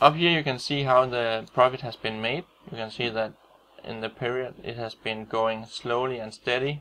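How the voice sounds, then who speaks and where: A man with a Danish accent speaks at medium pitch and a moderate pace, his tone bright and sharp. His intonation stays fairly even while his loudness swings widely. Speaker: trader. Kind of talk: tutorial. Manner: halting.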